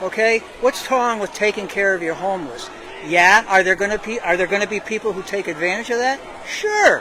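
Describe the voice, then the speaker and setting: An animated tone at a moderate pace, over noticeable background noise. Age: 80s+. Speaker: rally attendee interviewed on street. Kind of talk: street interview.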